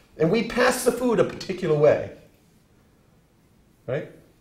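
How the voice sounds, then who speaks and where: A man speaks at a moderate pace, his pitch swinging very widely. Room echo is audible. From New England (New Hampshire). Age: 60s. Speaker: professor. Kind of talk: lecture. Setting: classroom.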